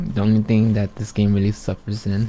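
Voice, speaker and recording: A soft-spoken man talks in a flat monotone at a fairly low pitch. Music plays in the background. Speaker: gaming streamer. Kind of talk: gameplay commentary. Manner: halting.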